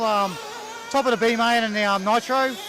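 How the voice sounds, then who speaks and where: With noticeable background noise behind him, a man with an Australian accent speaks at an extremely high pitch in fairly even intonation. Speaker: RC racing team mechanic and parent. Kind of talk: interview.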